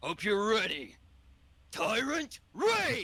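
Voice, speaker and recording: Putting on a character voice, a man sounds raspy and high, with very wide pitch swings. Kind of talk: English. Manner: menacing, dramatic.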